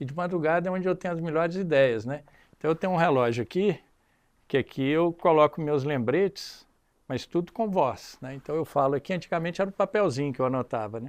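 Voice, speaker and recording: A man's fairly high-pitched, plain, everyday voice at a fairly quick pace over a quiet background. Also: ordinary pitch variation. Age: 60s. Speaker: business executive. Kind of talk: casual chat.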